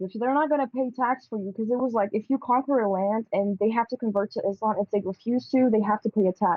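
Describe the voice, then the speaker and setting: A woman in an Arabic accent, animated in tone, fairly high in pitch, at a fairly quick pace with ordinary pitch variation. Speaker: podcast co-host. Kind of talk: casual debate.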